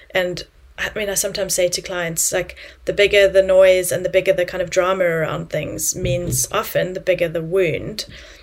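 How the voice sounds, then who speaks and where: There is noticeable background noise in this clip. A woman talks at a moderate pace. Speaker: clinical psychologist turned coach. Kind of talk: casual interview chat.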